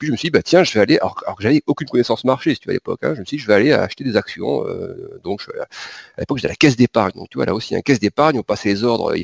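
Dry and close with no echo, a man's voice rushes at a very fast pace with big swings in loudness. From southern France, Pyrenees. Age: 40s. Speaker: market analyst. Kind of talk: interview. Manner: halting, many repetitions and fillers.

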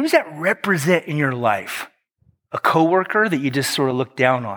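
In a very clean recording with a silent background and a dry, close sound with no echo, a man with a fairly high pitch talks at a moderate pace with lively intonation. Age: 50s. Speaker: pastor. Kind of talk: sermon.

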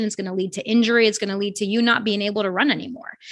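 In an unremarkable speaking voice, a woman delivers fairly high-pitched, fairly even speech over a quiet background. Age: 40s. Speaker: running coach. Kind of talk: casual interview.

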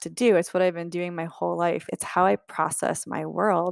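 Here is a plain, everyday voice, a woman's with fairly low pitch. She speaks at a fairly quick pace in a dry, close sound with no echo. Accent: American. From Ohio, US Midwest. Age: 40s. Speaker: travel writer. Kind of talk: interview.

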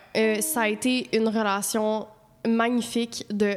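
Animated in tone, a woman speaks at a fairly high pitch in a Quebec accent. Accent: Québécois French. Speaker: podcast co-host. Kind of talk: casual chat. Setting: studio.

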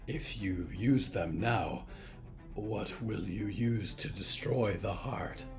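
Very slow speech over clear music in the background. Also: man, fairly low pitch for a man. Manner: formal, calm, no contractions.

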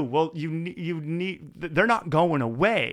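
In a very clean recording with a silent background, a man with an unremarkable speaking voice and a fairly high pitch speaks at a fairly slow pace. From Maritimes, Canada. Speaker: podcast host. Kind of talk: casual interview chat. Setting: studio.

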